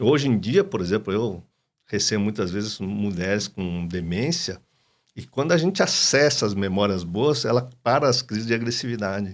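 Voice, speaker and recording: An unremarkable speaking voice from a man at a fairly low pitch, with lively intonation and a moderate pace, in a very clean recording with a silent background. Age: 60s. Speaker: psychoanalyst and doctor. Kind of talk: podcast interview.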